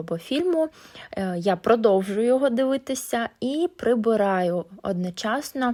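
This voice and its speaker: At a fairly slow pace, a woman speaks in a dark, mellow tone with ordinary pitch variation. The recording is very clean with a silent background. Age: 20s. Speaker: vlogger, housewife. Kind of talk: vlog voiceover narration.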